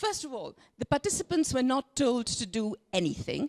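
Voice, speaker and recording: With vocal fry and very wide pitch swings, the voice moves at a moderate pace in a dry, close sound with no echo. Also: woman. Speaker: physicist. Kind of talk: lecture.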